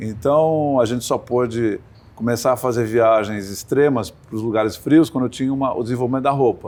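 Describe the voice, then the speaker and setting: Speaking at a moderate pace, a man uses a plain, everyday voice of medium pitch with ordinary pitch variation. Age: 60s. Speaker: sailor and sports entrepreneur. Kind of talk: interview.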